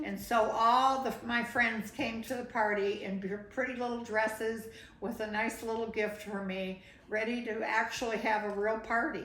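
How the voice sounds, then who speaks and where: A monotone, flat delivery at a moderate pace, with audible room echo and noticeable background noise. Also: woman, fairly high pitch for a woman. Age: 70s. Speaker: grandmother recording life story. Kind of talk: interview. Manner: conversational, with fillers.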